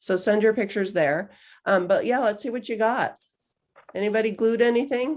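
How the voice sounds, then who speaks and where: A woman with a plain, everyday voice and a fairly high pitch speaks at a moderate pace with ordinary pitch variation. The background is quiet. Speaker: magazine publisher hosting a craft workshop. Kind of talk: casual online workshop chat.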